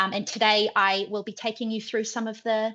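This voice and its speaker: A woman in a New Zealand accent speaks at a moderate pace and fairly high pitch with a bright, sharp tone. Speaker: head of marketing. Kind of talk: webinar presentation.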